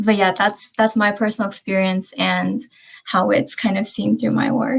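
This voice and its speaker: A woman with an American accent speaks at a medium pitch with vocal fry and very even loudness. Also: ordinary pitch variation, moderate pace. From United States. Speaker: panelist, creative writer. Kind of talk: panel discussion. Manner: halting.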